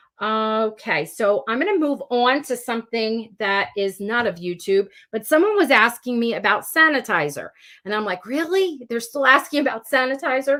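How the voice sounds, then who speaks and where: A woman with a fairly high pitch and a bright, sharp, animated tone speaks with lively intonation. Her pace is moderate. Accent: New Jersey. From South Jersey, US. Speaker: elementary school teacher and YouTuber. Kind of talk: live-stream Q&A, casual chat.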